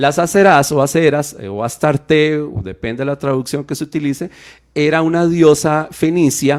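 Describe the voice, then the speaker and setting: The recording is very clean, with a silent background. A man with an English accent speaks at a moderate pace. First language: English (speaking Spanish). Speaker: radio Bible teacher. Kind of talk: radio Bible teaching talk. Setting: live radio studio broadcast.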